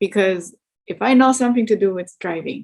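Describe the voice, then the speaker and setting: Here a woman speaks with a German accent. Her pitch is medium, with ordinary pitch variation. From East Germany. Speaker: truck driver. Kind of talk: interview.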